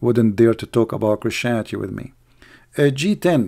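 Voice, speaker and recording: With an Arabic accent, this speaker talks over a quiet background. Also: man. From Middle East. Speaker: online video host. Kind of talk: live stream commentary and rant. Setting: live stream online. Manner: animated, sarcastic; non-fluent English, grammar slips.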